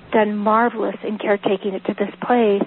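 Noticeable background noise accompanies a woman talking at a moderate speed. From Northern California. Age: 50s. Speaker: herbalist and author. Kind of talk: live radio interview.

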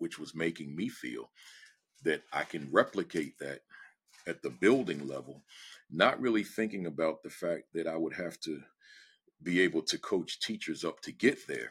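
A fairly slow voice in an American accent, with vocal fry and big swings in loudness. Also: man. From New Jersey. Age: 60s. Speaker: education speaker and former principal. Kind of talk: interview conversation. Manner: direct, straight-talking.

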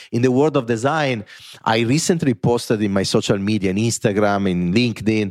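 A man with an Italian accent at a moderate pace, with ordinary pitch variation. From Italy. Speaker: corporate design executive and author. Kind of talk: podcast interview.

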